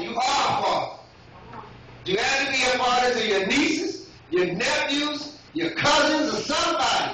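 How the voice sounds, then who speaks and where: A raised, projected voice with lively intonation rings through strong room echo over light background noise. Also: man. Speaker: lay preacher. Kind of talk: Father's Day church sermon with call-and-response. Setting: church with congregation. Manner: rhythmic, repetitive preacher cadence punctuated by yes and amen; fervent, exhorting crowd to come forward. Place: church. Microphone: camera far.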